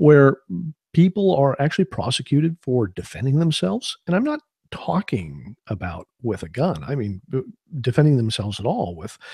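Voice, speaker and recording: A man with an American accent speaks at a moderate pace and medium pitch in a dark, mellow, somewhat breathy tone, the sound dry and close with no echo. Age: 50s. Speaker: self-defense instructor and webcast host. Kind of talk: live webcast talk. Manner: hesitant, many fillers.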